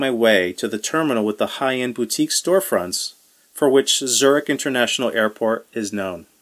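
The background stays quiet while the text is read aloud plainly.

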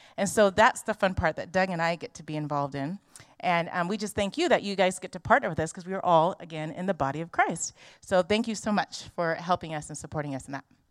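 Talking at a very fast pace with a Californian accent, a woman uses a fairly low pitch and ordinary pitch variation, her sound dry and close with no echo. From Los Angeles. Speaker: missionary. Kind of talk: church presentation. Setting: church.

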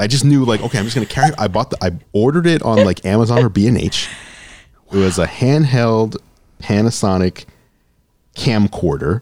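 With an American accent and an ordinary speaking voice, a man talks at a medium pitch and a fairly quick pace in a very clean recording with a silent background. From New York City. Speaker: tech YouTuber and business owner. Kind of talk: casual interview.

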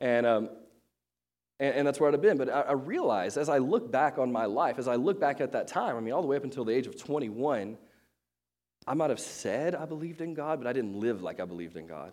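With vocal fry and lively intonation, a man at medium pitch talks at a very fast pace. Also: very clean recording, silent background. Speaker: pastor. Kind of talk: sermon. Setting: church. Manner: casual, filler-heavy.

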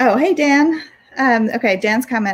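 A woman talks at a fairly slow pace, her somewhat breathy voice carrying lively intonation. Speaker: podcast host and workplace culture consultant. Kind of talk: casual chat. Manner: informal, filler-heavy.

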